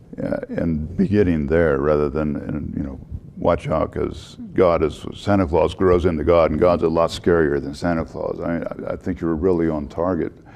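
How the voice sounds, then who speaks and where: With a Texan accent and a very deep, low pitch, a man speaks at a moderate pace with fairly even intonation and hardly any pauses over noticeable background noise. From Texas. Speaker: panel member. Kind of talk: panel discussion.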